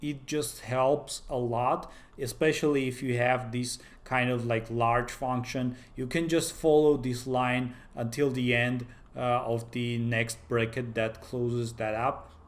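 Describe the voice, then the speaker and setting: In a non-native accent, a man with a medium pitch speaks at a fairly slow pace in a monotone, flat intonation, with audible room echo. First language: not English. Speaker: software developer, tech YouTuber. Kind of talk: tutorial. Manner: halting, many fillers.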